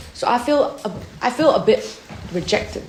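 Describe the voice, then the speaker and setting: A woman with a non-native accent and an animated tone, amid noticeable background noise and audible room echo. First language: not English. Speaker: camp devotion speaker. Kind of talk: sermon.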